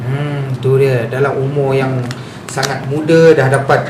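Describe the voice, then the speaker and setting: Over noticeable background noise and audible room echo, a man speaks at a very slow pace with monotone, flat intonation. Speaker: radio host. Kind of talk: radio interview. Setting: radio studio.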